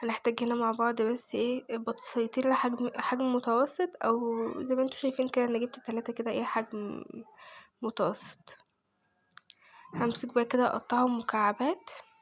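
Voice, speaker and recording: With an Egyptian accent, a woman speaks at a fairly slow pace in a high pitch. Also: fairly even intonation. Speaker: home cooking vlogger. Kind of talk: cooking tutorial. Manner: casual.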